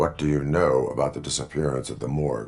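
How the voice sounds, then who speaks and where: A man puts on a character voice with a very deep, low pitch. He talks at a very fast pace. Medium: video game. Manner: flat, clipped, monotone.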